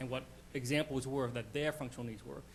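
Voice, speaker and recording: With fairly even intonation, a man talks in a medium pitch. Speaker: county legislator. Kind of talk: legislative meeting questioning. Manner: fast.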